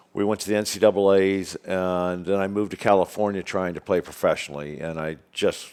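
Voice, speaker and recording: Hardly pausing, a man with a very deep, low voice speaks at a fairly quick pace. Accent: American. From US Midwest. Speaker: golf course executive. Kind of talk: podcast interview. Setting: studio with live audience.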